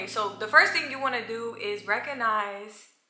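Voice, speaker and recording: A woman talks in a fairly high pitch with fairly even intonation while music plays in the background. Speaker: YouTuber. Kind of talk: casual chat. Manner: fast.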